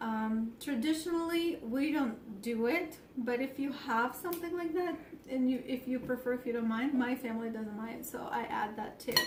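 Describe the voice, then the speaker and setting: Over noticeable background noise and audible room echo, a woman speaks at a moderate pace with a high pitch and ordinary pitch variation. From Ukraine. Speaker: home cook. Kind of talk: tutorial. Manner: casual with frequent fillers.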